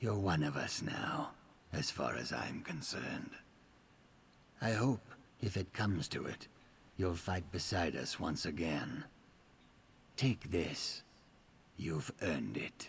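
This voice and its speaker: Using a put-on character voice, a man speaks at a fairly slow pace in a very deep, low pitch, leaving long, frequent pauses. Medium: video game. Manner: measured, self-assured.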